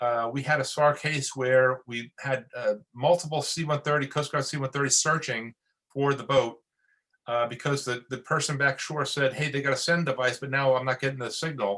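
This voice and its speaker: A man's bright, sharp voice with a New York accent, fairly high in pitch, with fairly even intonation. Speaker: Coast Guard officer. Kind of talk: webinar briefing. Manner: fast.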